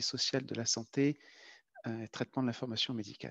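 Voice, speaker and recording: A man with a French accent speaks very fast in a medium pitch and a flat monotone. The sound is dry and close, without echo. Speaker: epidemiology researcher. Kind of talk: lecture. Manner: halting.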